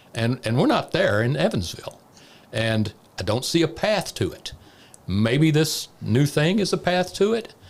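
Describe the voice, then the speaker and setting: A man's fairly high pitch with vocal fry, very wide pitch swings and a fairly slow pace. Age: 60s. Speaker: former economic development director. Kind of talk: casual chat.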